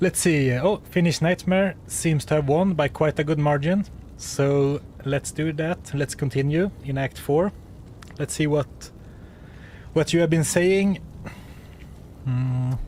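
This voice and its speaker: With a Swedish accent, a man speaks at a fairly slow pace and fairly high pitch, somewhat breathy, with long, frequent pauses. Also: fairly even intonation. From Sweden. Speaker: video game streamer. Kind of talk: live gameplay stream chat. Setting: home office. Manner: casual, hesitant with fillers.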